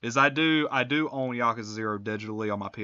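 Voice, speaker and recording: Bright and sharp in tone, a man's medium-pitched voice moves at a moderate pace with ordinary pitch variation. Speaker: gaming streamer. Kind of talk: live gameplay commentary. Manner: halting, many fillers; casual, profane.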